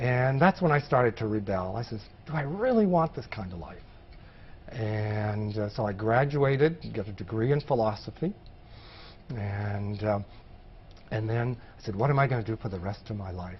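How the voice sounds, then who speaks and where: A somewhat breathy man with an American accent, medium pitch, ordinary pitch variation and a moderate pace broken by long, frequent pauses. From Maine, US. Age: 60s. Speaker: former public health field worker. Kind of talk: oral history interview.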